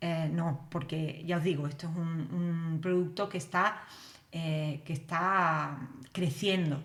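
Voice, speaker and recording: A woman with a strong Spanish accent speaks at a very slow pace in a fairly low pitch with fairly even intonation. Audible room echo surrounds her voice. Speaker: developer educator. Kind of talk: live stream tutorial. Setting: live stream. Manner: casual, many fillers. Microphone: new computer setup, mic may not sound right.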